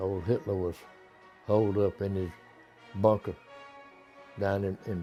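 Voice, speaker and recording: A man speaks in a North Carolina accent at a fairly slow pace, his pitch fairly low. Music plays in the background. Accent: Southern US (North Carolina). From Clayton, North Carolina. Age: 80s+. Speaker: war veteran, mule dealer. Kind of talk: interview answer, reminiscence.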